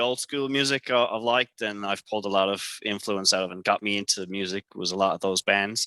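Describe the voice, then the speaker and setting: A fairly low-pitched man with an American accent, bright and sharp in tone, with ordinary pitch variation and hardly any pauses, in a very clean recording with a silent background and a dry, close sound with no echo. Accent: Irish, sometimes sounds American. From Ireland, Tipperary. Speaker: rock band guitarist. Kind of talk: casual chat.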